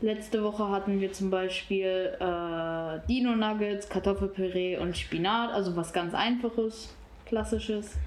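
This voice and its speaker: With an unremarkable speaking voice, a woman speaks at a fairly slow pace in a medium pitch, with fairly even intonation and very even loudness. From Oberhausen-Osterfeld, Germany. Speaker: youth centre visitor. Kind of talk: casual interview.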